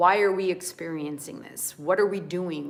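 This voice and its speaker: The speaker is a woman. Her pitch is fairly low. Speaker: spiritual coach and yoga teacher. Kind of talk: spiritual talk to camera. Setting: livestream. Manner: slow and deliberate.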